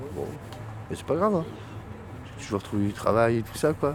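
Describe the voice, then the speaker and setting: A man is speaking. His intonation is lively. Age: 50s. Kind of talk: casual street conversation, documentary recording.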